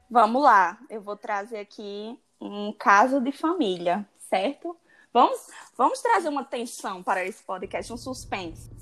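Using a plain, everyday voice, a woman speaks at a fairly slow pace with a fairly high pitch. Her intonation is lively, and her loudness swings widely. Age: 20s. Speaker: podcast co-host, law student. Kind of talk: casual chat.

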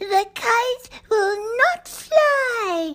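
A woman puts on a character voice pitched extremely high. Her intonation is lively. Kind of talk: bedtime story. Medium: read story. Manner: mocking, teasing.

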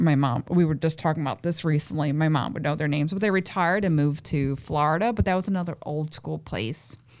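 Recorded very cleanly against a silent background, a woman with a Brooklyn accent speaks at a fairly quick pace in a fairly low pitch with lively intonation. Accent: Brooklyn New York. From Williamsburg, Brooklyn, New York. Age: 30s. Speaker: chef. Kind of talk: casual chat.

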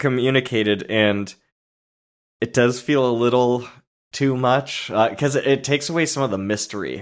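A man speaks at a moderate pace in an ordinary speaking voice, his pitch medium with ordinary variation. The recording is very clean, with a silent background. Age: 30s. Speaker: movie podcast co-host. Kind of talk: casual chat.

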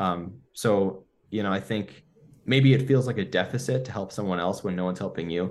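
A fairly low-pitched man with a Western New York accent. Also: ordinary pitch variation, moderate pace. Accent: Western New York American. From US, Buffalo, New York. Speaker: neuroscientist. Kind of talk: podcast interview.

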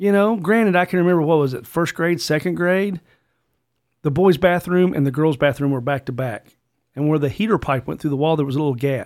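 With a plain, everyday voice, a man talks at a fairly quick pace and fairly high pitch with ordinary pitch variation, on a very clean recording with a silent background. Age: 50s. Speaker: conservative podcast host. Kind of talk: casual chat. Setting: studio.

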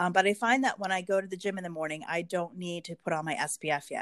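Against a quiet background, a woman with an American accent speaks at a fairly quick pace in an unremarkable speaking voice of medium pitch. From Pennsylvania. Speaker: clinical research manager and business owner. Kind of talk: casual interview. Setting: podcast.

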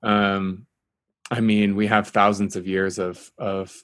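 In a very clean recording with a silent background, a man with an American accent speaks at a fairly slow pace in a fairly low pitch. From US Midwest, Kansas. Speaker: meteorologist and climate journalist. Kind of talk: casual interview conversation. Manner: calm.

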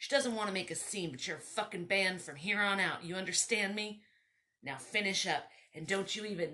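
This is plain reading aloud, its intonation fairly even.

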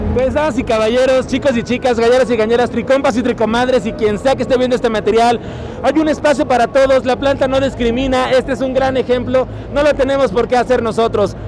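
Over crowd noise in the background, a man speaks very fast at an extremely high pitch, in a flat monotone with very even loudness. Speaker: podcast host. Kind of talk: casual chat. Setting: trade show floor.

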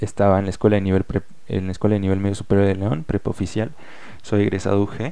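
Dark, mellow tone at a very fast pace, with fairly even intonation. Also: man. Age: 20s. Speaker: poet. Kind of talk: personal monologue with poetry reading.

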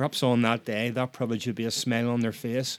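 With a Northern Irish accent, a man at a medium pitch talks at a fairly quick pace with fairly even intonation, in a very clean recording over a silent background. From Northern Ireland. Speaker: podcast host. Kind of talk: solo podcast monologue.

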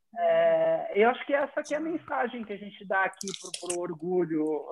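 A man's voice with very wide pitch swings. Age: 40s. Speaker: corporate diversity leader. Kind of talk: casual chat. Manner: halting.

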